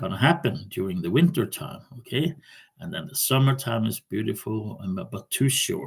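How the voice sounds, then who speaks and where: With a Norwegian accent, a man talks at a medium pitch with vocal fry. His pitch swings very widely. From Norway. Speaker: vlogger. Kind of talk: casual monologue. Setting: recording on laptop at home. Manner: halting. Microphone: laptop mic.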